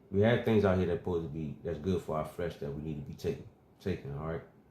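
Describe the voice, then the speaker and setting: A man with a very deep, low voice, dark and mellow in tone, somewhat breathy, with ordinary pitch variation and a very fast pace. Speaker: religious teacher. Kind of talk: bible teaching.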